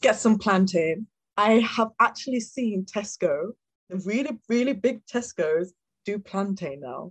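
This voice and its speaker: Her voice is somewhat breathy, with lively intonation and big swings in loudness. The sound of this woman is dry and close with no echo. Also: medium pitch for a woman. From Cameroon. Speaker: vegan chef. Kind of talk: casual chat.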